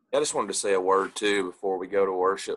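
The background is quiet. A man speaks in a bright, sharp tone. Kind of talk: prayer and announcements. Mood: earnest, grateful, prayerful. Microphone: video call.

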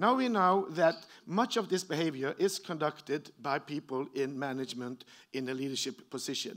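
This speaker has a Norwegian accent and keeps a moderate pace. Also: man, fairly high pitch for a man, lively intonation, quiet background. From Norway. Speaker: professor. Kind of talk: lecture. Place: hall.

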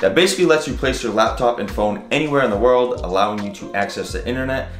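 A man talks at a very fast pace with big swings in loudness. There is audible room echo and faint music in the background. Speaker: vlogger reading a sponsor ad. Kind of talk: sponsored ad read. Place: home room.

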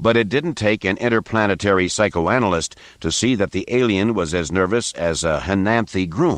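The voice reads naturally. Its rise and fall in pitch is ordinary.

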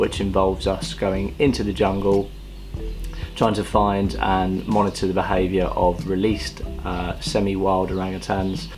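Clear music plays in the background as the voice moves at a moderate pace with ordinary pitch variation. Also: man, very deep, low pitch for a man. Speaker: volunteer vlogger. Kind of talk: casual vlog chat. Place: home room. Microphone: phone near.

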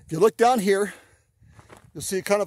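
With noticeable background noise and a dry sound with no echo, this man's voice sits high in pitch and has a dark, mellow tone. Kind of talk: casual vlog chat. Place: open country. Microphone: phone near.

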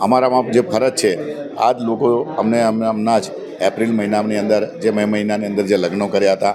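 Against noticeable background noise, a man with a fairly low pitch speaks with fairly even intonation. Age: 50s. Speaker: local politician, former councillor. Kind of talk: speech to reporters.

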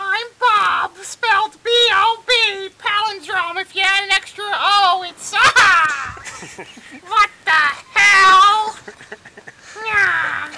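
This cartoonish character voice is extremely high in pitch and moves at a very slow pace. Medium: puppet. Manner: joking, goofy.

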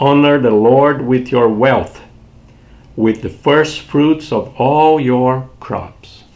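At a very slow pace, a man speaks with a Brazilian accent and ordinary pitch variation. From southern Brazil. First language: Portuguese. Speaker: pastor. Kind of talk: short devotional sermon. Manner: warm, repetitive. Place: home room. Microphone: webcam.

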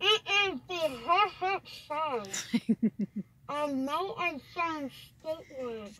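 A woman puts on a high-pitched, breathy character voice with lively intonation. She goes very slowly, with long, frequent pauses. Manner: sounds like Darth Vader.

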